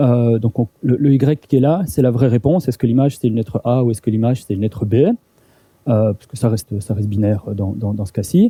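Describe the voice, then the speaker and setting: Somewhat breathy, a man talks at a fairly quick pace with a medium pitch and ordinary pitch variation. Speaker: university lecturer. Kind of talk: lecture. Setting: seminar room with audience. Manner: halting, many repetitions and fillers.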